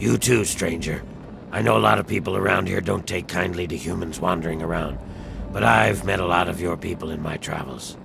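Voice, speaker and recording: A man's put-on character voice, very deep and low in pitch, at a fairly quick pace over clear background noise. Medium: short film.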